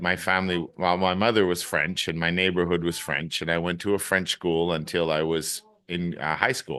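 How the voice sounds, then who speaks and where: A bright, sharp voice with a Canadian accent moves at a moderate pace. The background is quiet. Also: man. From Acadian region, Eastern Canada. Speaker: English teacher. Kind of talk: casual chat. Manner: repetitive stammering starts.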